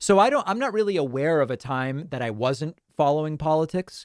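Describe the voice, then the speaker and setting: A man with an American accent, an ordinary speaking voice, talks at a moderate pace in a fairly high pitch with lively intonation and a dry, close sound with no echo. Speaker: political commentator. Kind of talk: live call-in show.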